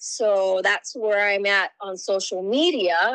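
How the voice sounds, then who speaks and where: A woman is speaking. She has a Hawaiian accent. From Hawaii, Lahaina, Maui. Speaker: political candidate. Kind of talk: interview.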